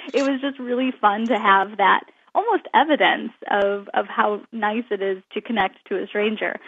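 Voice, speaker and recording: Speaking at a moderate pace, a woman with a normal speaking voice has a fairly high pitch and ordinary pitch variation. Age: 30s. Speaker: author. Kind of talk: interview. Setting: radio show.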